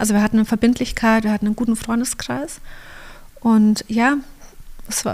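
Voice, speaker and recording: Fairly quick and fairly high-pitched, a woman's voice comes through. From Allgäu, Bavaria, southern Germany. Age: 40s. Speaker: photographer and church co-founder, mother. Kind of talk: casual interview conversation. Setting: home studio.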